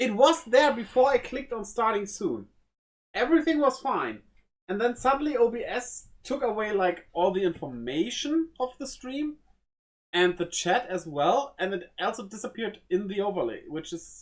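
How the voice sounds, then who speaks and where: The speaker talks at a moderate pace with a German accent. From Germany. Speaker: streamer. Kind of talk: live stream chat while building a model. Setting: live stream. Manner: casual, halting.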